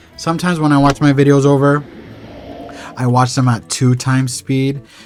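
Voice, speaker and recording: Music plays behind a man talking in a relaxed tone at medium pitch. His pace is moderate and his intonation fairly even. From Puerto Rico. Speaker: gaming YouTuber. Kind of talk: gameplay commentary.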